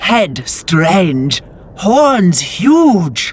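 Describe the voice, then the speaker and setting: This put-on character voice sits at a middle pitch and makes very wide pitch swings. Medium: video game. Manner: broken grammar, halting.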